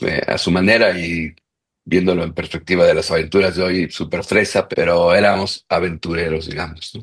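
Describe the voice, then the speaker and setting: A man with a very deep, low pitch talks at a moderate pace. His intonation is flat and monotone. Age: 60s. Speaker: consultant and entrepreneur. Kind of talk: interview conversation. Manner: halting, many false starts.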